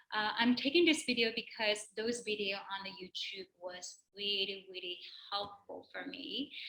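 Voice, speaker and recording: A woman with a non-native accent speaks at a fairly slow pace, her fairly high voice bright and sharp, with lively intonation and big swings in loudness. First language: not English. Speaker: personal trainer. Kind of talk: tutorial. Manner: halting.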